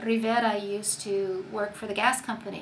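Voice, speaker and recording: A woman's monotone, flat voice with audible room echo and noticeable background noise. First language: Spanish. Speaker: community organizer. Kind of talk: interview.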